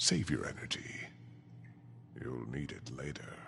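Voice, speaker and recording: A man's put-on character voice, very deep and low in pitch, at a moderate pace over clear background noise. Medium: video game. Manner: smug, menacing.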